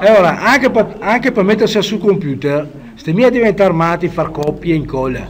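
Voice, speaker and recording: Over noticeable background noise, a man with a Venetian accent speaks at a moderate pace in a high pitch with very wide pitch swings. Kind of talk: casual software tutorial.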